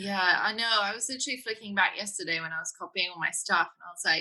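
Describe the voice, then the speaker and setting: A woman with a British accent at a fairly quick pace. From Britain. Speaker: women's coach and embodiment facilitator. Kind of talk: interview conversation. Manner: gentle, tender; sensual, seductive.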